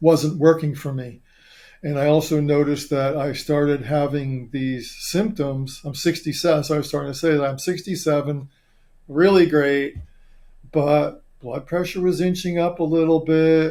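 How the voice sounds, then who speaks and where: Speaking at a moderate pace, a man with a dark, mellow tone and a fairly high pitch keeps his intonation fairly even. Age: 60s. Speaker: doctor. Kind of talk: casual chat.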